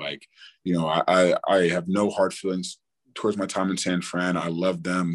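This is a man speaking. His voice has a very deep, low pitch. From US, partly raised in Australia. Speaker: football player. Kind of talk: interview. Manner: casual, many fillers.

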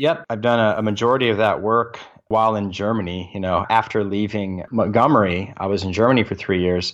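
With an unremarkable speaking voice, a man talks at a fairly quick pace and a fairly low pitch, with hardly any pauses and ordinary pitch variation. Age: 40s. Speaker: military service member and real estate investor. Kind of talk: interview. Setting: remote call from a different time zone.

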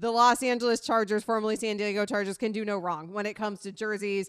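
American woman in a plain, everyday voice, medium pitch, ordinary pitch variation and fairly quick pace. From US South, Sarasota, Florida. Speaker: sports radio host. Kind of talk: sports talk radio chat. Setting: radio studio.

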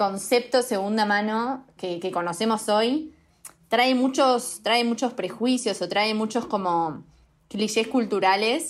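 Speaking at a very slow pace, a woman uses a fairly high pitch. Her pitch variation is ordinary, and the recording is very clean with a silent background. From Uruguay. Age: 20s. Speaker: fashion startup co-founder. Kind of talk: casual interview.

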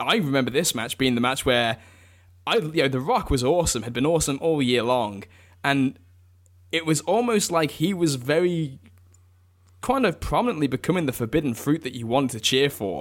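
A man talks at a fairly quick pace in an English accent, his fairly high voice full of lively intonation. The recording is very clean, with a silent background. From England. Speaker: wrestling author. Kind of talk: casual chat.

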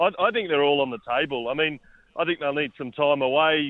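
In an Australian accent, a man talks at a fairly high pitch with fairly even intonation. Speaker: sports editor. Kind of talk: sports radio chat.

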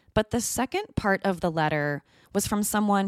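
A woman speaks in a normal speaking voice at a medium pitch with lively intonation. The recording is very clean, with a silent background. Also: dry, close sound with no echo. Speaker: true crime podcast host. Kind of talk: true-crime narration, scripted and read aloud. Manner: measured, grave, steady storytelling pace; serious, suspenseful, even-toned.

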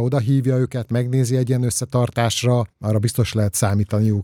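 A man's very fast speech at medium pitch, with a dark, mellow tone and monotone, flat intonation, on a very clean recording with a silent background and a dry, close sound with no echo. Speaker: sports journalist. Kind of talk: casual chat.

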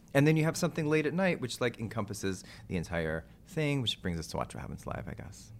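Talking very fast with an American accent, a man at medium pitch lets his pitch swing very widely, with vocal fry throughout. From Texas. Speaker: actor and TV producer. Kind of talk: interview. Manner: animated.

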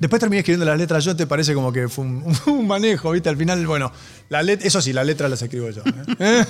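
Lively in intonation, a man talks at a very fast pace. His pitch sits fairly high. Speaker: rock musician. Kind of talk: casual chat. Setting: studio.

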